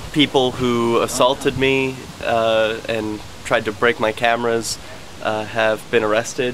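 Over light background noise, a man speaks at a very slow pace in a monotone, flat intonation. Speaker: activist vlogger. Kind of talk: casual vlog chat. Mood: relieved, slightly nervous. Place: street. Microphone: phone near.

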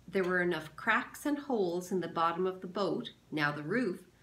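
The text is read aloud plainly.

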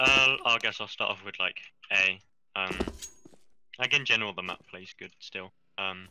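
A man's fairly low voice at a moderate pace, with long, frequent pauses, ordinary pitch variation and big swings in loudness, over noticeable background noise. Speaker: gamer, map playtester. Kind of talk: casual gaming chat and feedback.

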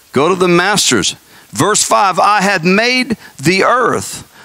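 A raised, projected voice moves at a very slow pace with lively intonation. The sound is dry, with no echo. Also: man. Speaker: pastor. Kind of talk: sermon. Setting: church. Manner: fervent, emphatic prophetic preaching; urgent, warning tone. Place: church. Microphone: handheld.

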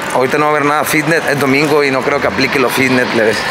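Music plays in the background. A man is speaking. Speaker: vlogger. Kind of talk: casual vlog chat.

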